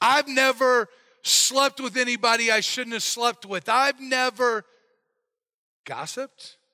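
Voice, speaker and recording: A man speaks in a raised, projected voice at an extremely high pitch, with a bright, sharp tone and a fairly slow pace. He leaves long, frequent pauses, and the very clean recording is dry and close with no echo and a silent background. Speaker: pastor. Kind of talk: sermon. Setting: church. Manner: loud when excited.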